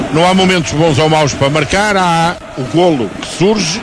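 Speech with normal pitch movement proceeds at a moderate speed as noticeable noise continues in the background. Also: man. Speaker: radio football commentator (co-commentator/analyst). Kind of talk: live football radio commentary, calm analysis. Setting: radio broadcast from stadium. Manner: calm, measured, analytical.

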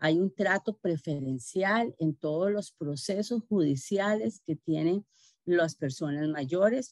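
In an unremarkable speaking voice, a woman talks at a fairly slow pace with fairly low pitch and lively intonation, the sound dry with no echo over a quiet background. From Costa Rica. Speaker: government health official; webinar presenter. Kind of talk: presentation. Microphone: video call.

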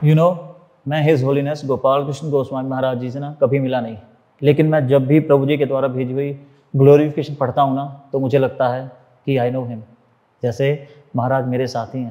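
A man speaks in a monotone with flat intonation and a dark, mellow tone. He keeps a moderate pace over a quiet background. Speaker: interviewee. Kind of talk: interview answer, storytelling. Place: office.

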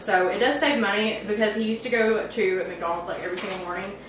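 A woman's very fast speech, with audible room echo and noticeable background noise. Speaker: home cook vlogger. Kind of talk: casual vlog chat. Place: kitchen.

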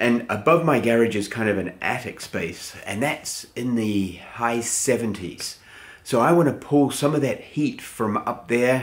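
A man speaks at a moderate pace with hardly any pauses. His pitch varies in an ordinary way. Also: quiet background. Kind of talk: casual vlog chat. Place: garage.

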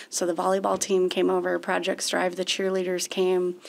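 A woman with an American accent speaks at a fairly quick pace. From US Midwest, St. Louis suburb, Missouri; Missouri. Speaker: chemistry professor; college professor, podcast guest. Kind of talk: interview. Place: studio. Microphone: studio mic.

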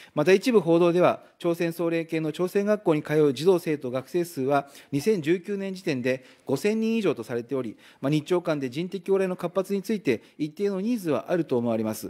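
A high-pitched man's voice, dark and mellow in tone, with lively intonation at a moderate pace on a very clean recording with a silent background. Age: 40s. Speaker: member of parliament. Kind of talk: parliamentary questioning.

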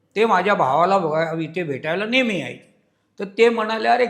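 The man's pitch is high. It shows ordinary pitch variation. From Mumbai, India. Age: 70s. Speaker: founder of a pilgrimage group. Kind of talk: interview.

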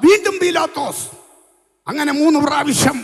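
In a quiet background, a man speaks in an animated tone. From Kerala, India. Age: 60s. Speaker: pastor. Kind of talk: sermon. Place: tent. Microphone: handheld.

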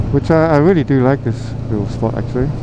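A man's voice in a dry sound with no echo, against noticeable background noise. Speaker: motorcycle vlogger. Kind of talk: casual vlog chat. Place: motorbike. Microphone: helmet.

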